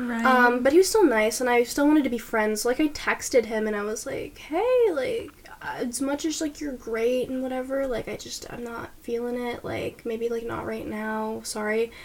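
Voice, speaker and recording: Over noticeable background noise, a high-pitched woman speaks at a moderate pace with hardly any pauses, ordinary pitch variation and big swings in loudness. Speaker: podcast co-host, university student. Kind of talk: casual chat.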